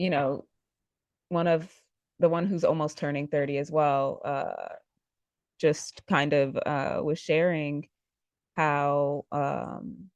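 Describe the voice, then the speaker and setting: Very slowly, a woman speaks with long, frequent pauses. Her pitch is very deep and low, and her intonation fairly even. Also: quiet background. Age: 20s. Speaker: podcast host. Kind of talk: casual chat.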